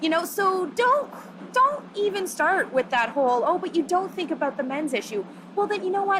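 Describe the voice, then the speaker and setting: A woman talks loudly and animatedly at an extremely high pitch with very wide pitch swings. Noticeable background noise is present. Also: moderate pace. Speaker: feminist activist. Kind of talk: interview.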